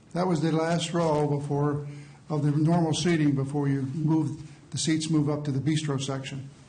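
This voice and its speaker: At a moderate pace, a man speaks in a fairly high, monotone, flat voice. Room echo is audible. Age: 60s. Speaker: eyewitness. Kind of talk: courtroom testimony. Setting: courtroom. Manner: halting.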